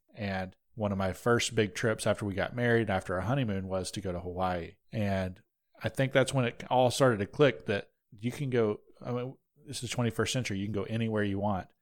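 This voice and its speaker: With a Southern US accent, a man talks at a fairly quick pace in a fairly low voice with ordinary pitch variation, recorded very cleanly against a silent background. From North Georgia. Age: 20s. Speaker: podcast host. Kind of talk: casual chat.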